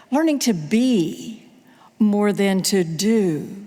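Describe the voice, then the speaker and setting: A woman at medium pitch makes very wide pitch swings. Audible room echo surrounds her voice. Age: 70s. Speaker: pastor. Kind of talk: sermon. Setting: church.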